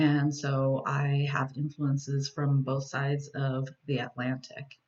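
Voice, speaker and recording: This woman has a very deep, low pitch. She talks with an American accent. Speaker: Spanish teacher. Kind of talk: class introduction presentation. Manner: hesitant with many fillers.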